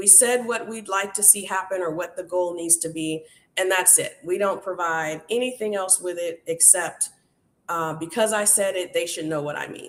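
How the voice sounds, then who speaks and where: A woman's normal speaking voice, medium in pitch, at a moderate pace with fairly even intonation. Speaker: workshop host.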